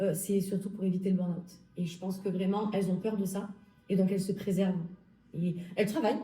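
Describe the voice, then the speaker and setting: A woman's somewhat breathy voice with a dark, mellow tone, fairly quick pace broken by long, frequent pauses, monotone, flat intonation, and audible room echo. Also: medium pitch for a woman. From southern France, Alpes-de-Haute-Provence. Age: 30s. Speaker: health law graduate. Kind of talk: interview.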